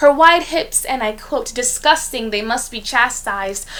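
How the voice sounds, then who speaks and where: Noticeable background noise accompanies a woman talking at a moderate tempo. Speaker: poet. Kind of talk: spoken word poetry performance.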